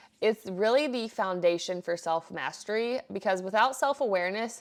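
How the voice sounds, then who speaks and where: With lively intonation and a medium pitch, a woman talks at a moderate pace on a very clean recording with a silent background. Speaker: podcast host. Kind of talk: solo podcast monologue.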